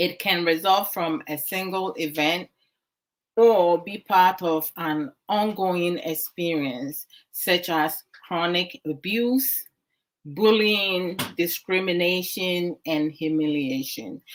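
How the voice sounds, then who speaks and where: A woman with a Ghanaian accent speaks at a fairly low pitch with ordinary pitch variation. Her pace is very slow. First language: Twi. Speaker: online talk show host. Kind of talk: discussion talk. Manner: code-switching English and Twi.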